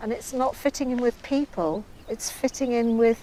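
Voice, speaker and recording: A woman talks with an English accent and a fairly high pitch, with ordinary pitch variation. Noticeable background noise is present. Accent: English accent like the presenter's. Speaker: artist. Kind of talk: casual interview.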